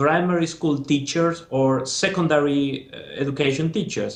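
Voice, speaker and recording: Speaking at a moderate pace, a man uses a fairly high, somewhat breathy voice. He has a Spanish accent. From Spain. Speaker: former master's student. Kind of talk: interview.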